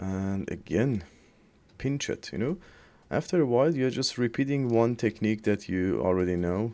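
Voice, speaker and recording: A man's medium-pitched voice, dark and mellow in tone, with a non-native accent over a quiet background. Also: lively intonation, moderate pace. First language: not English. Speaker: 3D artist. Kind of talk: tutorial. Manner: halting; casual.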